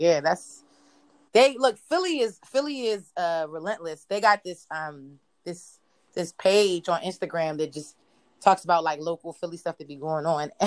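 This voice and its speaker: With an American accent and an unremarkable speaking voice, a woman with a fairly low pitch talks at a moderate pace with lively intonation against a quiet background. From US Mid-Atlantic, Prince George's County, Maryland. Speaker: visual artist. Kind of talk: casual chat.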